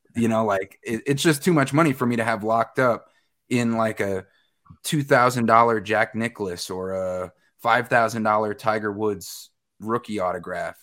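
Speaking with an American accent, a man uses a plain, everyday voice with ordinary pitch variation. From Westchester County, New York. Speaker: news and sports anchor. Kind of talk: casual chat.

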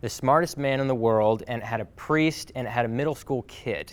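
A man speaks at a moderate pace with medium pitch and ordinary pitch variation in a plain, everyday voice. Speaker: podcast host and speaker. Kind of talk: talk to a class, motivational message. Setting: live class, recorded with audience.

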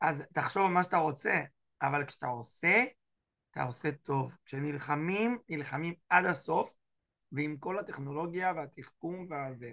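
A man's fairly high, bright, sharp, animated voice at a fairly slow pace. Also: ordinary pitch variation, quiet background. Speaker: rabbi teaching a class. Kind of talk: online lecture.

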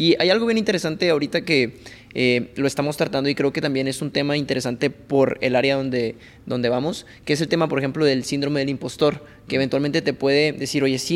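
A man with a fairly high pitch talks at a very fast speed. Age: 20s. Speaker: podcast host. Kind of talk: casual interview chat.

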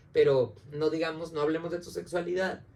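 A man's somewhat breathy, dark, mellow voice sits fairly high in pitch, moving at a moderate pace with ordinary pitch variation. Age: 30s. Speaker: psychologist. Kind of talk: casual chat.

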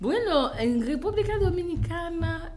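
There is noticeable background noise and audible room echo as a woman speaks. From Haiti. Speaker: image consultant and entrepreneur. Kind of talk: interview.

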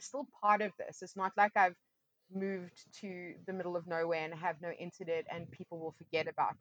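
A woman's plain, everyday voice, fairly low in pitch, with fairly even intonation, a moderate pace, and a dry, close sound with no echo. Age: 30s. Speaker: DJ and music industry manager. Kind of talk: casual interview chat.

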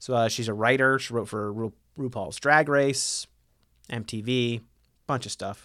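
A man with a Midwestern American accent talks at a fairly slow pace and a medium pitch, leaving long, frequent pauses. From Ohio, US Midwest. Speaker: podcast host. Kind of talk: casual chat.

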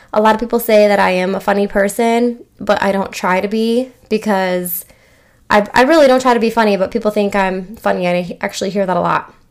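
With an American accent, a woman speaks in an unremarkable speaking voice at medium pitch and a moderate pace, with fairly even intonation. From Michigan. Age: 20s. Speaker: podcast host. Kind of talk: casual monologue. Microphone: new microphone.

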